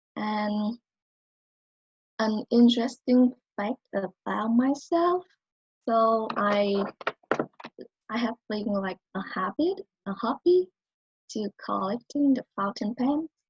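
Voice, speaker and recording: With a non-native accent and lively intonation, a woman at fairly high pitch speaks very slowly and somewhat breathily, pausing long and often, in a dry, close sound with no echo. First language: not English. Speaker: college student. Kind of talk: speech.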